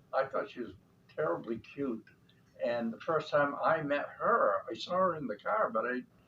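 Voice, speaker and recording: A man talks at a moderate rate while noticeable background noise carries on. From Central Maine. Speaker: interviewee, father of the host. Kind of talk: family interview, casual chat.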